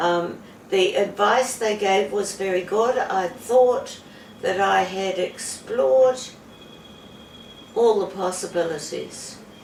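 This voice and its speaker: Noticeable background noise and audible room echo surround a woman with a New Zealand accent. She talks at a very slow pace with long, frequent pauses. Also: medium pitch for a woman, ordinary pitch variation. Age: 70s. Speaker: patient. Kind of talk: testimony. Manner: halting.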